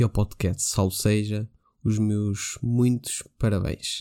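A dark, mellow male voice, fairly low in pitch, at a very slow pace with fairly even intonation. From Portugal. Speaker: podcaster sharing a story. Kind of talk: voice message storytelling.

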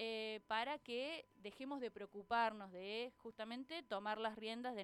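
A woman with a slight Cordoba accent, fairly high pitch, ordinary pitch variation and a fairly slow pace. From Argentina, Córdoba city. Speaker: columnist, doctoral student in education. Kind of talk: radio interview. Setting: radio studio.

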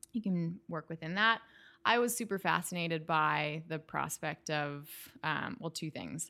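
A woman with a Canadian accent, fairly low pitch, vocal fry and a bright, sharp tone, on a very clean recording with a silent background. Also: ordinary pitch variation. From Western Canada (Calgary). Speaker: lighting designer. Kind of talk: casual interview chat. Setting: at home in her kitchen.

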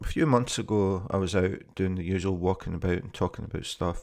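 A man speaks in a very deep, low voice with a Scottish accent and fairly even intonation. The recording is very clean, with a silent background. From Scotland. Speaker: podcaster and city guide. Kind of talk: unscripted monologue. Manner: casual, hesitant with fillers.

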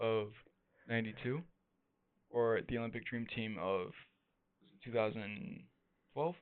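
A man's medium-pitched voice broken by long, frequent pauses. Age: 20s. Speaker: podcast co-host. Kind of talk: casual chat.

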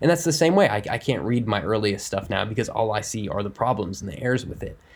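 A man with an American accent, a normal speaking voice, medium pitch and a fairly quick pace. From Ohio, US Midwest. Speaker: comic book and video game writer. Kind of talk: interview.

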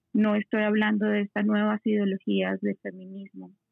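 Music plays in the background. The speaker's intonation is monotone and flat. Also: woman. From Colombia. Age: 30s. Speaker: lawyer and interior designer. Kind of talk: podcast conversation.

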